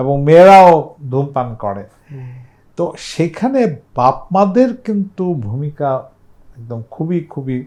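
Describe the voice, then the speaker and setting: A man speaks with fairly high pitch and a dark, mellow tone. His pitch swings very widely. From Bangladesh, Dhaka. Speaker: public health expert. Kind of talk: casual chat.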